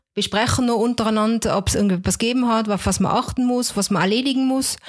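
This woman talks at a very fast pace, her pitch varying in an ordinary way. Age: 30s. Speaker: home care nurse. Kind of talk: interview.

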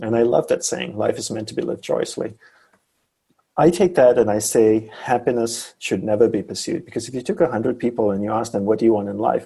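Here a man speaks at a fairly quick pace with a medium pitch. His tone is dark and mellow, and somewhat breathy. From Malaysia. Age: 40s. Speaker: former monk and focus teacher. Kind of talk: interview.

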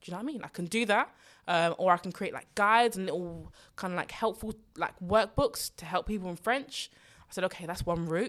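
A woman with a London accent, medium in pitch, fairly quick, her loudness swinging widely and her pitch varying in an ordinary way, on a very clean recording with a silent background. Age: 20s. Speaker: personal finance podcast host. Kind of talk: solo podcast Q&A. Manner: animated.

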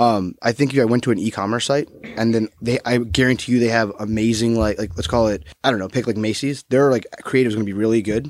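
Talking at a very fast pace, a man with a medium pitch speaks with an American accent. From US South, Florida. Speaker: mobile marketing manager. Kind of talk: casual chat. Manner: animated.

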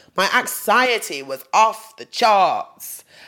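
This woman has an East Midlands accent. Her tone is bright and sharp. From England, Nottingham. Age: 30s. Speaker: podcast host. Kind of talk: personal monologue. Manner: laughing often.

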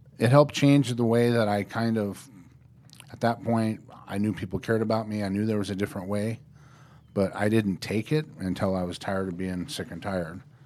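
A man speaks in an ordinary speaking voice, fairly low in pitch with ordinary pitch variation. His pace is fairly quick. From Norfolk, Nebraska. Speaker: probation officer. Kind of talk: interview, personal story. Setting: studio.

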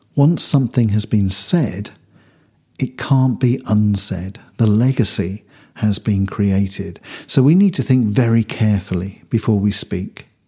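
Over a very clean recording with a silent background, a man speaks at a fairly slow pace in a fairly low pitch, his dark, mellow tone somewhat breathy. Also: ordinary pitch variation. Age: 50s. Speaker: church minister. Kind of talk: devotional podcast talk.

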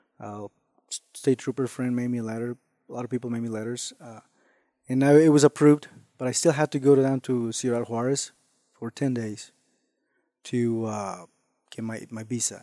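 In a Spanish accent, the dark, mellow voice has fairly even intonation, big swings in loudness and long, frequent pauses, recorded dry and close with no echo over a very clean, silent background. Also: man, medium pitch for a man, moderate pace. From Mexico. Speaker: hunter and ranch hand. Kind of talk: casual interview.

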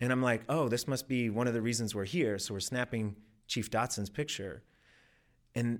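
In a very clean recording with a silent background, a man speaks with a Midwestern American accent. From rural Missouri, US Midwest. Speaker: storytelling class graduate. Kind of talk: personal storytelling performance. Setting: stage with audience.

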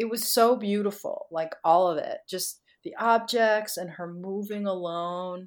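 Speaking at a fairly slow pace with hardly any pauses, a woman with an American accent uses fairly even intonation at medium pitch, an ordinary speaking voice with big swings in loudness, on a very clean recording over a silent background. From US Northeast (Connecticut). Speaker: dancer and choreographer. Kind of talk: interview.

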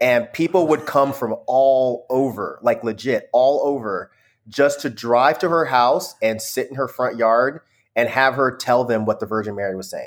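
On a very clean recording over a silent background, an unremarkable speaking voice keeps a moderate pace and ordinary pitch variation. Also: man. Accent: American. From US South, Georgia (Conyers), earlier California. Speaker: music critic and YouTuber. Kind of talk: casual chat.

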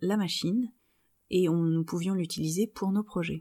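A woman's dark, mellow voice at medium pitch with ordinary pitch variation, very cleanly recorded against a silent background. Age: 30s. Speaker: sewing podcaster and blogger. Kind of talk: solo podcast monologue.

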